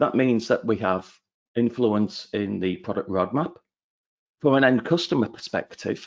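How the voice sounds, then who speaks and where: Speaking with a northern English accent, a man talks at a moderate pace in a medium pitch, with ordinary pitch variation. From northern England. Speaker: channel account manager. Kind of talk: webinar presentation.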